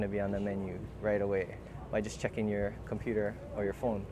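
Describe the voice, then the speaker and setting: With noticeable background noise but a dry sound with no echo, a man talks fairly quickly at a fairly low pitch. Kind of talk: interview answer. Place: street.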